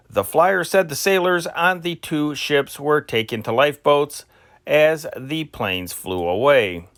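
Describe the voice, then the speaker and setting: The recording is very clean, with a silent background. A man talks at a fairly high pitch. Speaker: newspaper history narrator reading archive news. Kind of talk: news reading from a historical newspaper. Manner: non-professional, personal delivery style.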